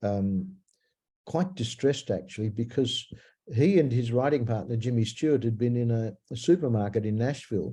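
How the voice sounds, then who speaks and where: Against a quiet background, a man with a medium-pitched, somewhat breathy voice and a dark, mellow tone talks at a moderate pace with ordinary pitch variation. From Australia (Melbourne). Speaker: singer-songwriter. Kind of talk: interview. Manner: halting, many fillers.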